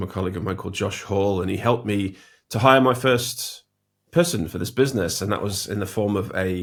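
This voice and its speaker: A man with a British accent speaks at a fairly low pitch with lively intonation. The recording is very clean, with a silent background. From Britain. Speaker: logo designer and design educator. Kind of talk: interview. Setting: home studio.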